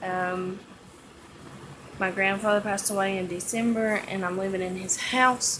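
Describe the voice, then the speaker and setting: A medium-pitched woman with an East Tennessee accent, monotone and flat at a moderate pace, with long, frequent pauses, audible room echo and noticeable background noise. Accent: East Tennessee Southern US. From Tennessee (Bluff City, East Tennessee). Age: 20s. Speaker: vlogger. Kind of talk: casual vlog chat. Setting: at home. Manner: hesitant, many fillers.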